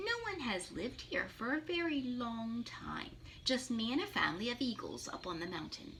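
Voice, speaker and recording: A squeaky, put-on character voice from a woman, high-pitched, at a moderate pace, with clear background noise. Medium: read story.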